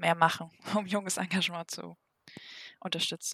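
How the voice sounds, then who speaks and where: The talking goes at a moderate speed. Everything sounds dry and close, without any echo. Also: woman. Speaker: podcast host. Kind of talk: interview.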